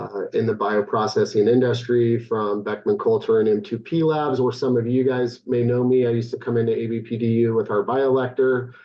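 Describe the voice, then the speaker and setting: With a West Coast accent, a man speaks at a medium pitch and a moderate pace. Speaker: equipment vendor sales presenter. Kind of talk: conference presentation. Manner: hesitant, many fillers.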